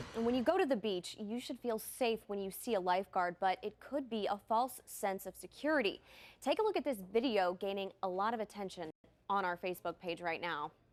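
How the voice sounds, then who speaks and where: In an American accent, a woman speaks at a fairly quick pace and medium pitch with an energetic tone and ordinary pitch variation, on a very clean recording with a silent background. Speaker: television news anchor and reporter. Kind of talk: TV news anchor delivery. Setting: news studio. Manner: energetic, polished.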